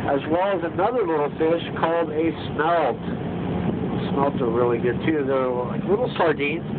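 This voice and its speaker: Moderate pace and ordinary pitch variation, with noticeable background noise. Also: man. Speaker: boat tour guide. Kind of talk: tour guide commentary. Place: boat.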